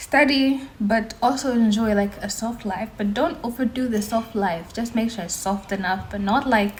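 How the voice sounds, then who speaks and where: With an American accent, a woman talks in a fairly high pitch with hardly any pauses against noticeable background noise. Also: ordinary pitch variation. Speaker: university student and vlogger. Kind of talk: casual vlog advice. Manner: fast; animated.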